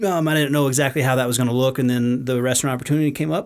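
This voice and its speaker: A man with an American accent speaks very fast at a medium pitch, his intonation fairly even. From Texas. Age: 40s. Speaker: whiskey distillery owner. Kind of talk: casual podcast interview.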